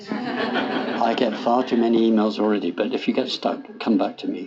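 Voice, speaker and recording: There is noticeable background noise as a man talks with an English accent. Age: 70s. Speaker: food policy professor. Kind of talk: lecture. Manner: conversational.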